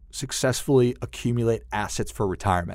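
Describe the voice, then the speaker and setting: This man has a plain, everyday voice and an American accent, talking at a moderate pace. His pitch varies normally, and the recording is very clean with a silent background. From US Midwest, northern Minnesota (Duluth). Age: 40s. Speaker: financial advisor. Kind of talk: interview conversation.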